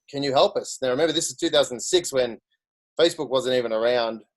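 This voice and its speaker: A man with a fairly high pitch and an Australian accent. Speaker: social media marketer. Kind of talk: career story talk on a video call.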